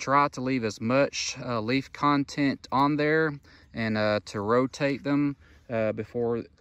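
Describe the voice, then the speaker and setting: Against a quiet background, a man talks at a fairly slow pace with fairly even intonation, and the sound is dry with no echo. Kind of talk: field tour commentary. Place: open country. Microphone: phone near.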